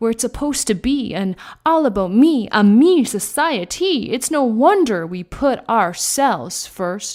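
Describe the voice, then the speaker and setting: A woman talks with a plain, everyday voice. Her pace is fairly slow and her intonation lively. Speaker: spoken word poet. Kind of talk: spoken word poetry performance.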